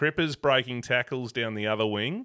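With an Australian accent, a man speaks at a moderate pace in a bright, sharp tone, his pitch medium and his pitch variation ordinary. The recording is very clean with a silent background and has a dry, close sound with no echo. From Tasmania, Australia (Avoca). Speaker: podcast host. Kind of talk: casual interview.

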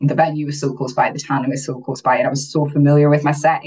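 A woman speaks with a very deep, low pitch, somewhat breathy. Her intonation is monotone and flat. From Aberdeen, northeast Scotland. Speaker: bodybuilding competitor, beauty pageant winner. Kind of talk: casual interview chat.

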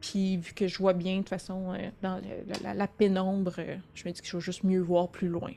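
Her dark, mellow tone stays at a medium pitch as the woman speaks at a moderate pace in monotone, flat intonation. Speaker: tabletop role-playing game player. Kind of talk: casual chat. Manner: halting.

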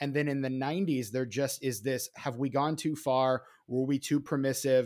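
This man has an unremarkable speaking voice, medium in pitch, with fairly even intonation at a moderate pace. The recording is very clean, with a silent background. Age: 30s. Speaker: podcast co-host guest. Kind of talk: casual chat.

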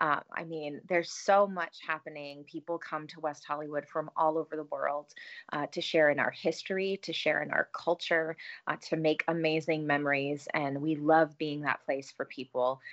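In a dry, close sound with no echo and a quiet background, a woman with an American accent speaks at a moderate pace in a very deep, low pitch with monotone, flat intonation. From US Midwest, east side of Cleveland, Ohio. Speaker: mayor and political candidate. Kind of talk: interview.

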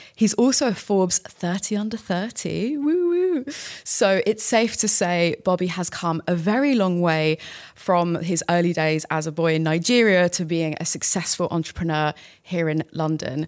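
In a plain, everyday voice, a woman at a fairly low pitch speaks at a moderate pace with ordinary pitch variation. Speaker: podcast host. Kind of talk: casual interview.

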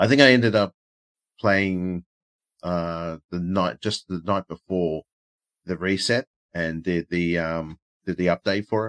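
A man with an Australian accent talks at a fairly slow pace with long, frequent pauses. His voice is very deep and low, and his intonation fairly even. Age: 30s. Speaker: podcast co-host. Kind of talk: casual chat. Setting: live stream.

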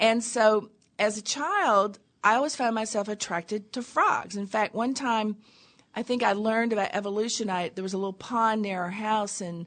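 A woman with an American accent speaks at a moderate pace and fairly high pitch, with ordinary pitch variation and an ordinary speaking voice. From US South, small-town Tennessee. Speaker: abstract painter and creative coach. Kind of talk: interview. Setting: studio.

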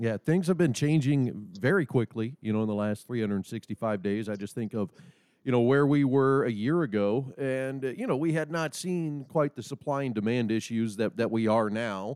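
In a plain, everyday voice, a man with an American accent speaks at medium pitch and a moderate pace, his intonation lively and the sound dry and close with no echo. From Nebraska. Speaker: podcast host for an equipment company. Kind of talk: casual interview.

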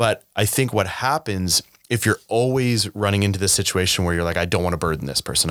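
In a Canadian accent, the speaker talks at a very fast pace on a very clean recording with a silent background. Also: man. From Canada, Saskatchewan (Regina). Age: 30s. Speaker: mental health nonprofit founder. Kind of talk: interview.

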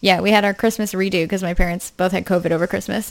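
Vocal fry colors a woman's medium-pitched voice in a New Hampshire accent. She goes at a very fast pace with monotone, flat intonation. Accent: New England accent, New Hampshire. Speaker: podcast co-host.

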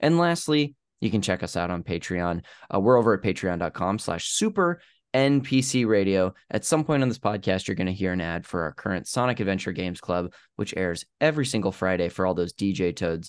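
A man with an ordinary speaking voice at a fairly quick pace over a quiet background. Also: fairly low pitch for a man, lively intonation. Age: 30s. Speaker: podcast host. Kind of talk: show intro and outro; casual chat.

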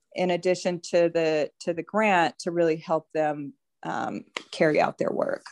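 In a normal speaking voice, a woman talks at a fairly slow pace with a fairly low pitch and fairly even intonation, the sound dry and close with no echo. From US, Denver, Colorado. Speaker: nonprofit executive and philanthropist. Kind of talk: casual interview chat.

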